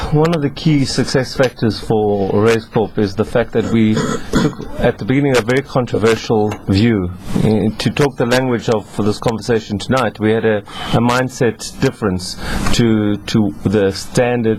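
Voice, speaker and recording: Over noticeable background noise, a man speaks at a moderate pace and medium pitch, with ordinary pitch variation and very even loudness. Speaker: business executive, entrepreneurship expert. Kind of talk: radio talk show discussion.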